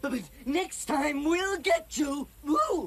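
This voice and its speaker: A high, cartoonish character voice over clear background noise. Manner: giggly, goofy.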